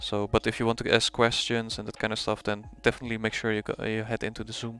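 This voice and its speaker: A man with a strong Dutch accent talks at a fairly quick pace in a dry, close sound with no echo. Music plays in the background. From Netherlands. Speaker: forex trader streaming live. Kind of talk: live trading stream, casual commentary. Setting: live stream.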